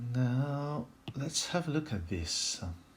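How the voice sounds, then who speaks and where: A man with a strong French accent at a very slow pace. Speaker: puzzle solving video creator. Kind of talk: puzzle solving tutorial. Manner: thinking aloud, some hesitations.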